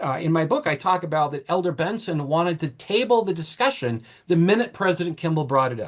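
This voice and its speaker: An American accent with very wide pitch swings. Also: man. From Maine, US. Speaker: author and historian. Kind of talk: panel discussion.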